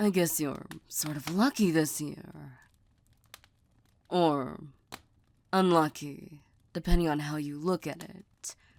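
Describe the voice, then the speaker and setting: Putting on a character voice, a woman speaks very deep and low at a fairly slow pace with long, frequent pauses. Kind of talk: ASMR roleplay. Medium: solo performance. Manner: soft, teasing, intimate.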